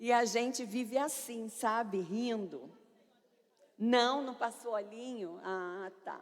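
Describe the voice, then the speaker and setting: Loud and fairly high-pitched, a woman speaks at a very slow pace with audible room echo. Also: ordinary pitch variation. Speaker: pastor. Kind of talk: sermon.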